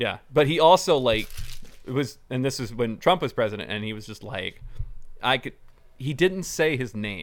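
In an ordinary speaking voice, a man talks at medium pitch with lively intonation and big swings in loudness. The recording is very clean, with a silent background. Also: moderate pace. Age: 30s. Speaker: comic book store podcast co-host. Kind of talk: casual chat.

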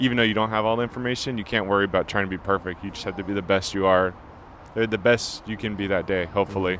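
The man speaks at a very fast pace with an American accent. His pitch is fairly low. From California. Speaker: chef. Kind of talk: casual chat.

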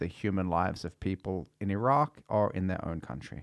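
A man talks with an Australian accent. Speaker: podcast host. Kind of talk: casual chat. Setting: studio.

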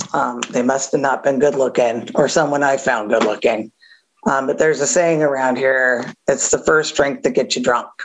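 Her loudness very even, a woman speaks at a very deep, low pitch. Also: ordinary pitch variation, moderate pace. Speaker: AA meeting speaker. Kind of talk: testimony. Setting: recovery meeting. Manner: casual, humorous.

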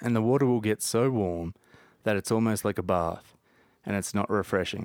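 Against a silent background on a very clean recording, a man with an Australian accent speaks at a fairly low pitch with fairly even intonation. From Jervis Bay, New South Wales. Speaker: podcast guest. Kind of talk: casual chat. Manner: laid-back, joking.

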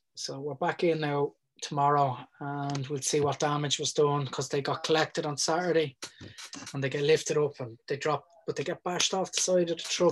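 With a Dublin accent, a man talks at a fairly quick pace in a flat monotone at a fairly high pitch. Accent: Dublin Irish. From Ireland (Dublin area). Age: 40s. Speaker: mural artist. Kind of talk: casual chat.

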